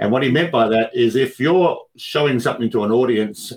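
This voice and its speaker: Speaking at a medium pitch, the man has an Australian accent. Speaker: speaking coach and magician. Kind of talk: interview.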